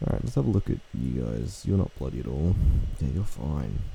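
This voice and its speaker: A man's lively voice in an Australian accent over noticeable background noise. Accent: Australian, natural. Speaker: gaming youtuber. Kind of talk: gameplay commentary. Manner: casual, filler-heavy.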